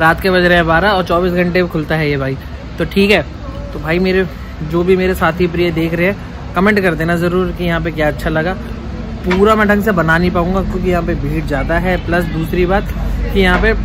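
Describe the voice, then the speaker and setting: A high-pitched man in a monotone, flat delivery over noticeable background noise. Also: moderate pace. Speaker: food vlogger. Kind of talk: casual vlog chat. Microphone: phone near.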